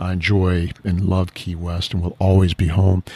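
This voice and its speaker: The delivery is monotone and flat, at a moderate pace. The recording is very clean, with a silent background. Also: man. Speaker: business owner, conservatory CEO. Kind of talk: casual interview chat. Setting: on location at a butterfly conservatory. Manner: mild-mannered with bursts of passion.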